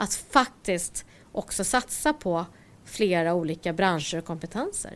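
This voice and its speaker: In an unremarkable speaking voice, a woman talks at a fairly slow pace with fairly low pitch and lively intonation. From Stockholm, Sweden. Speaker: IT entrepreneur. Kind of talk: interview.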